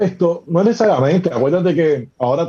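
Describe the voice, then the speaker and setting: A man's very fast, lively speech in a dark, mellow tone, somewhat breathy. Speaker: professional basketball player. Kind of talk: casual chat.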